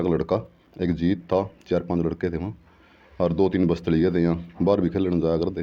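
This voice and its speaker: The pitch is very deep and low. This man talks at a moderate pace. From Haryana, Karnal district. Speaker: former kabaddi player. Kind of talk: interview.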